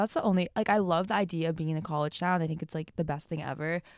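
This woman talks at a very fast pace. Her pitch is fairly low, with ordinary variation. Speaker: college student podcaster. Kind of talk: casual chat.

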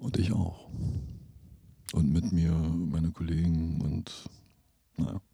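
A man speaks at a very slow pace with a very deep, low pitch, a dark, mellow tone and a somewhat breathy quality, pausing often and at length. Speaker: composer and podcast host. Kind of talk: casual chat. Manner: halting, many filler sounds.

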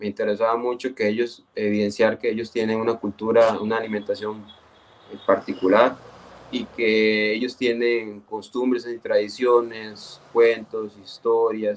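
A man's medium-pitched, monotone, flat delivery at a fairly slow pace, over noticeable background noise. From Costa Rica, Esparza (Puntarenas). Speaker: geographer, municipal urban planner. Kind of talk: radio interview. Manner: halting, frequent repetitions.

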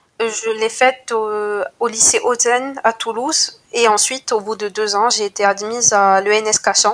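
A woman with a plain, everyday voice speaks at a fairly slow pace, fairly high in pitch and fairly even in intonation. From Morocco, Casablanca. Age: 20s. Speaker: student and venture capital analyst. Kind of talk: interview.

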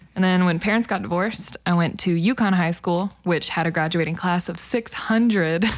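With an American accent, a woman talks in an ordinary speaking voice at a fairly low pitch and a moderate pace, her pitch varying in an ordinary way, her loudness very even and hardly any pauses breaking her speech. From Oklahoma (El Reno area). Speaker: singer-songwriter. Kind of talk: casual interview chat.

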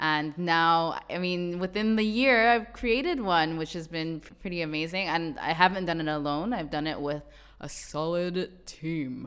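A woman's fairly low voice at a moderate pace, with ordinary pitch variation and big swings in loudness. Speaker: podcast host. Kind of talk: podcast intro and interview. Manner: animated.

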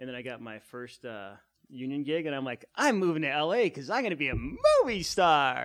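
With an American accent, a man speaks in an unremarkable speaking voice, fairly high in pitch and with lively intonation. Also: moderate pace. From US Southwest, Phoenix. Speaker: improv comedian. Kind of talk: casual chat.

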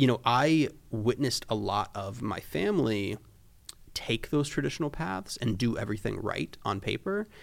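A man with an unremarkable speaking voice and medium pitch talks at a moderate pace with lively intonation, recorded very cleanly over a silent background. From Florida. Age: 20s. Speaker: photographer and creative director. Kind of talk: casual chat.

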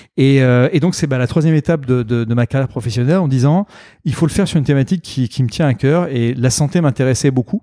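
In a very clean recording with a silent background, a man of medium pitch speaks at a very fast pace in a dark, mellow tone, with very even loudness, ordinary pitch variation and a dry, close sound with no echo. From Normandy, France. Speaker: entrepreneur. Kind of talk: interview. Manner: halting.

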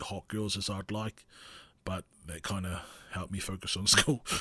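A man speaks in a very deep, low voice with a bright, sharp tone, flat and monotone, recorded dry and close with no echo. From New Zealand, Porirua (Wellington region). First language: Maori. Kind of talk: casual solo monologue. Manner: hesitant, many fillers.

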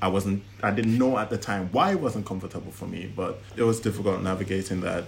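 Noticeable background noise sits behind a man with a fairly low pitch. He talks at a fairly quick pace in a monotone, flat way. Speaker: guest in a couple interview. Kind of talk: casual interview chat.

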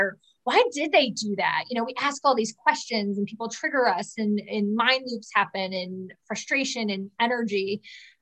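Pitched fairly high, a woman's voice has a bright, sharp tone and ordinary pitch variation. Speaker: success coach and author. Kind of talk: interview conversation. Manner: animated.

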